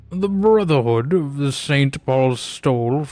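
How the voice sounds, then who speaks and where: Someone talks at a fairly slow pace in a put-on character voice. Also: man, fairly high pitch for a man. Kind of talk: lordly, poetic, refined. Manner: theatrical, affected.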